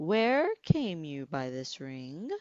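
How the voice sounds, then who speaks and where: Putting on a character voice, a woman speaks at a very deep, low pitch with very wide pitch swings. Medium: read story.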